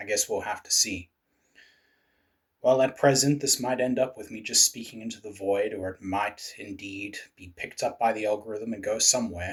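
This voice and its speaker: A man's somewhat breathy, medium-pitched voice at a moderate pace, with big swings in loudness and fairly even intonation. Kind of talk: political commentary to camera.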